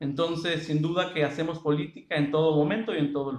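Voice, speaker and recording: With a Mexican accent, a man speaks in a fairly high voice. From Mexico, Michoacán. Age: 20s. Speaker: university lecturer and civil servant. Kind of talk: interview.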